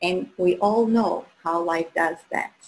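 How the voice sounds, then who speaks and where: A woman's very slow speech with an Albanian accent and ordinary pitch variation. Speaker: human design coach, guest host. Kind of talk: live show presentation.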